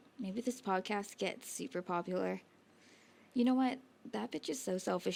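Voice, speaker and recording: A medium-pitched woman's voice at a moderate pace, with lively intonation. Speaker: podcast co-host. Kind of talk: casual chat. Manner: animated.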